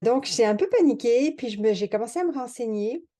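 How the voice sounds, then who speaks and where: Over a quiet background, a woman talks at a fairly quick pace. Her pitch is fairly high and her tone dark and mellow. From France. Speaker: mathematician and retirement-planning software creator. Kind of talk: sales pitch and product tutorial. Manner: casual, many hesitations.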